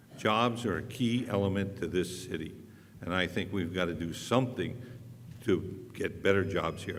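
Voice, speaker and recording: A man's voice at a moderate pace, with ordinary pitch variation and audible room echo. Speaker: city council candidate. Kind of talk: candidate debate. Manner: loud; plain-spoken, outspoken.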